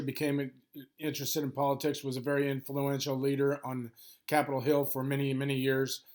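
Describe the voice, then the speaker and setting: A man talks at a fairly quick pace on a very clean recording, the background silent. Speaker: history teacher. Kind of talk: lecture. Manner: fast.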